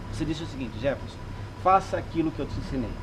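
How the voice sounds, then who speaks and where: Noticeable background noise and audible room echo are present. Over them, a man speaks at a fairly high pitch. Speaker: salesman and sales trainer. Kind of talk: casual interview chat, personal story.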